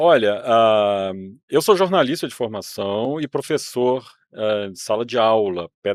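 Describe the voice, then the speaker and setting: Heard in a very clean recording with a silent background, a man speaks at a fairly slow pace and medium pitch. His intonation is lively, and his loudness swings widely. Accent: Minas Gerais. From Brazil, Minas Gerais. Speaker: museum director, former journalist and teacher. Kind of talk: interview.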